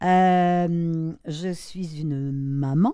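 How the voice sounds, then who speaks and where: A woman speaks with a dark, mellow tone at a fairly low pitch, her pitch varying in an ordinary way. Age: 70s. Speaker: artist and YouTuber, retired model. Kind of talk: interview conversation.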